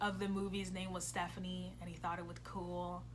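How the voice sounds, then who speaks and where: A woman speaks with an American accent, and audible room echo surrounds her voice. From US, early childhood in Brazil. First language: Portuguese. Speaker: vlogger. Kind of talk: casual vlog talk. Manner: animated.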